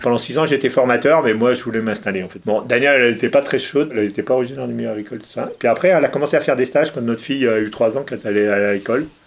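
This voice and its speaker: A man talks at a very fast pace with hardly any pauses, his pitch medium and its variation ordinary. Noticeable background noise runs behind him. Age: 60s. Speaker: retired dairy farmer. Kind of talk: interview testimony. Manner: hesitant, many fillers.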